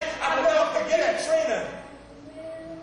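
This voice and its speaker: There is noticeable background noise. A man speaks over it. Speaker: spoken word poet. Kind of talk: spoken word performance poetry.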